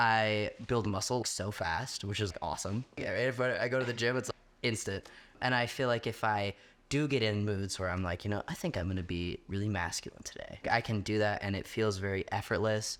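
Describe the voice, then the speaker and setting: With ordinary pitch variation, the speech keeps a moderate pace. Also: man, fairly low pitch for a man. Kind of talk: interview. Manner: casual, many fillers.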